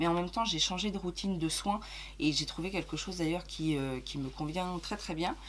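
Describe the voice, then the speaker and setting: A woman speaks at a moderate pace with a fairly low pitch. Her intonation is fairly even, with vocal fry. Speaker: beauty youtuber. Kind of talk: casual chat. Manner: hesitant, many fillers.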